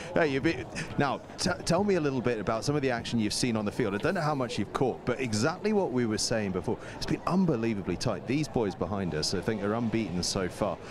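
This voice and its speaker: A man speaks at a very fast pace with very wide pitch swings. Noticeable background noise is present. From Scotland. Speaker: sports presenter. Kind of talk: interview. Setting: outdoors.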